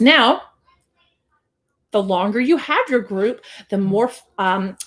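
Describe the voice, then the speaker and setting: This is a woman with a fairly high voice. Her pitch varies in an ordinary way. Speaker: business coach. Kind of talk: live stream sales pitch. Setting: live video stream. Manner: fast.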